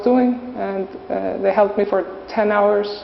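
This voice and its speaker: Noticeable background noise runs behind a woman speaking with an Icelandic accent. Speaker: volunteer teacher. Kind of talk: interview. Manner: halting.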